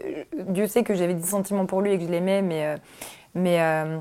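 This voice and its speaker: Her pitch is medium for a woman. The woman speaks with monotone, flat intonation. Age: 20s. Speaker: documentary interviewee, former philosophy student. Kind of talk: testimony. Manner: halting, many hesitations.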